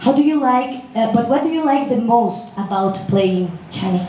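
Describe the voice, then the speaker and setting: Amid noticeable background noise and audible room echo, a woman with a Spanish accent speaks at a moderate pace with lively intonation. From Mexico. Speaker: press conference moderator. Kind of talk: press conference moderating. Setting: press conference in Mexico.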